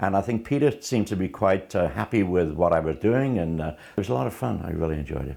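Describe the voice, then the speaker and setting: A man with a very deep, low pitch, a dark, mellow tone and vocal fry speaks at a very fast pace with hardly any pauses and very wide pitch swings. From Liverpool, England. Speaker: first-time actor. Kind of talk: interview testimony.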